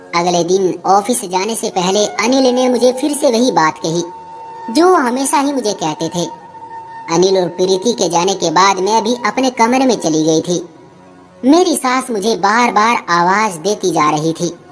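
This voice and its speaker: Medium pitch from a woman at a moderate pace, with clear background noise. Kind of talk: emotional moral story narration. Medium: read story. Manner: intimate, confiding.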